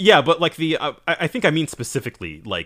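On a very clean recording with a silent background, a man speaks at a fairly quick pace, his bright, sharp tone edged with vocal fry. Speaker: co-host, manga letterer. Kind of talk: casual chat. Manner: laid-back, jokey.

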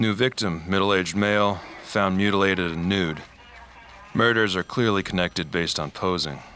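A man's very deep, low voice, deadpan in tone, with fairly even intonation at a fairly quick pace over noticeable background noise. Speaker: fictional detective narrator. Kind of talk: noir detective case-file narration, scripted audio drama monologue. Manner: terse, clipped, deadpan.

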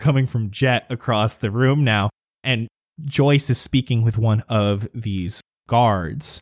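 A natural read-aloud voice, pitch moving in an ordinary way, background quiet

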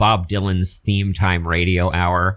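A man's fairly low-pitched, unremarkable speaking voice on a very clean recording with a silent background. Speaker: radio host. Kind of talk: casual interview chat. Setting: studio.

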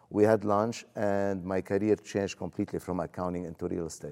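A man with a dark, mellow tone speaks at a fairly low pitch with ordinary pitch variation. He moves at a fairly quick pace in a very clean recording with a silent background. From Lebanon. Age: 60s. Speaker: real estate investor. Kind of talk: interview.

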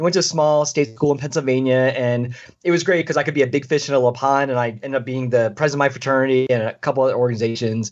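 Very fast talking comes from a man at medium pitch. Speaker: leadership and diversity consultant. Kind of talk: interview conversation. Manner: animated.

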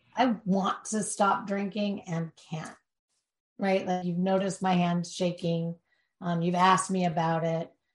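A somewhat breathy woman at a fairly slow pace, with monotone, flat intonation. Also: medium pitch for a woman. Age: 50s. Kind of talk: interview. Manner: halting.

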